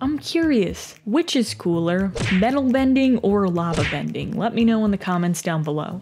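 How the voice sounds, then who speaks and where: Over music in the background, a woman speaks with lively intonation at a moderate pace. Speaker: video essayist. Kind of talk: video essay narration.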